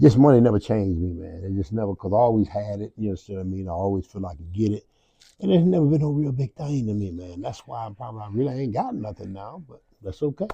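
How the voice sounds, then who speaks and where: The voice is dark and mellow, somewhat breathy, delivered at a very fast pace with big swings in loudness. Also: man, fairly low pitch for a man. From Milwaukee, US Midwest. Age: 70s. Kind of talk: interview. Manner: halting, repetitive.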